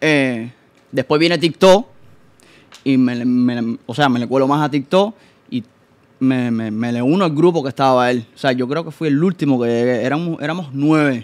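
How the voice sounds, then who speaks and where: The man's pitch varies in an ordinary way. He keeps a moderate pace. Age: 20s. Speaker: TikTok content creator; guest. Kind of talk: casual chat. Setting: studio. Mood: animated storytelling. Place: studio. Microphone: studio mic.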